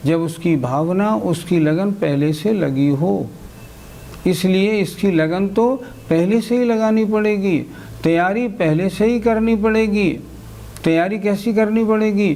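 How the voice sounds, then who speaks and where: Over noticeable background noise and audible room echo, a man speaks at a high pitch with ordinary pitch variation and very even loudness. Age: 60s. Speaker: Jain religious teacher. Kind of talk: religious lecture.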